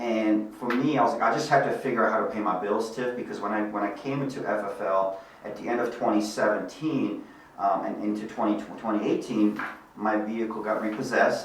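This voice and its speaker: A man speaks at a fairly quick pace with a Bosnian accent, his voice fairly low and his intonation fairly even. Audible room echo and noticeable background noise are present. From Bosnia, then Germany from age six. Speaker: life insurance sales executive. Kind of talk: podcast interview.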